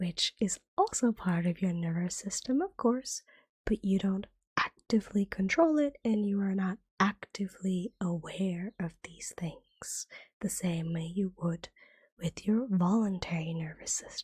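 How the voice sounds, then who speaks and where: A soft-spoken voice at a fairly slow pace. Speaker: ASMR vtuber. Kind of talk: ASMR educational lesson.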